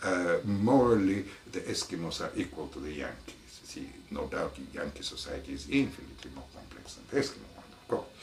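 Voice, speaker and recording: There are big swings in loudness as a man speaks at a fairly quick pace. The recording carries noticeable background noise and audible room echo. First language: French. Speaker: anthropology professor. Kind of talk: interview. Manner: halting, many fillers.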